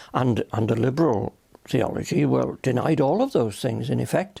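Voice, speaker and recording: At a moderate pace, a man with a Welsh accent talks in a very clean recording with a silent background. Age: 90s; old. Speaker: retired minister. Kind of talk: interview answer.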